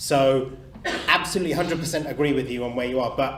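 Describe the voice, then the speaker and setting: Audible room echo and noticeable background noise surround a man who speaks with ordinary pitch variation. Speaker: dentist. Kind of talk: panel Q&A. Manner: loud.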